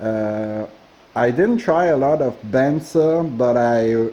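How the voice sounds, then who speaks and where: A man with a Quebec accent speaks in a dark, mellow tone. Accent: Québécois French accent in English. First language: French. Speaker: woodturner. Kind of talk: tutorial. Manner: halting, many fillers.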